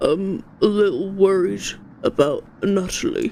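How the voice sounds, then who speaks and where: A woman performs a put-on character voice. She uses a medium pitch and a fairly slow pace. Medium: virtual streamer. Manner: nervous, rambling.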